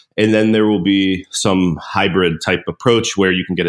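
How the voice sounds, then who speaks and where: An American-accented man with a very deep, low pitch and a moderate pace, on a very clean recording with a silent background. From US, Pittsburgh, Pennsylvania. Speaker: startup founder. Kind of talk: interview.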